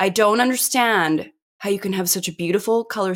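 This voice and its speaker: A woman has an ordinary speaking voice. Her pace is moderate and her intonation lively. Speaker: podcast host. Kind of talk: casual chat. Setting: video call.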